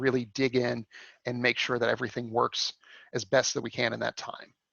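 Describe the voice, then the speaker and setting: The delivery is monotone and flat in intonation, moving at a fairly quick pace. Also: man. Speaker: coding bootcamp instructor. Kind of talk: lecture. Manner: fast.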